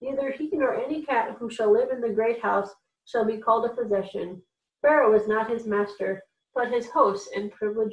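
Quiet surroundings behind natural-voiced reading aloud

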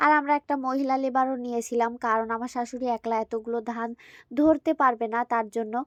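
A woman's high-pitched, monotone voice with flat intonation, dry and close with no echo, over a quiet background. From rural Bangladesh. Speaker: village vlogger. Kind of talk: casual vlog narration.

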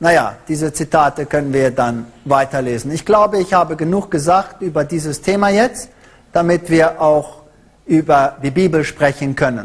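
With ordinary pitch variation, this man delivers his words at a moderate pace. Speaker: lecturer. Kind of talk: lecture. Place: hall. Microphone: handheld.

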